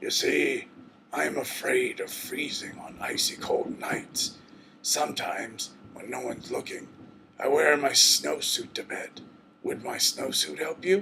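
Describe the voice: Using a growling put-on character voice, a man speaks at a fairly slow pace.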